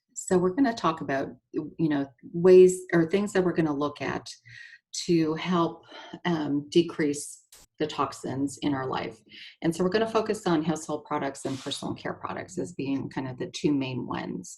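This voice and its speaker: A woman with a very deep, low pitch and a slight Canadian accent, at a moderate pace with ordinary pitch variation. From Canada. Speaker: nurse and essential oil seller. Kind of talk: presentation. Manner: halting, many fillers.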